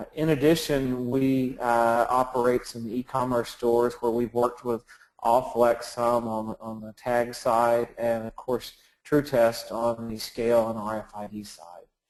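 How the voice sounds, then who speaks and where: A speaker with a Texan accent talks in a flat, monotone intonation while the loudness swings widely from moment to moment. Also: man, medium pitch for a man, fairly slow pace. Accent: Texan, noticeable. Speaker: software company presenter. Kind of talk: webinar presentation. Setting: online webinar.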